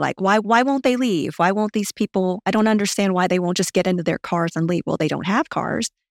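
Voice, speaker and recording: A woman with a Southern US accent speaks at a fairly quick pace with ordinary pitch variation, in a very clean recording with a silent background and a dry, close sound with no echo. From Louisiana, US South. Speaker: marketing executive. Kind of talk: interview about personal money story.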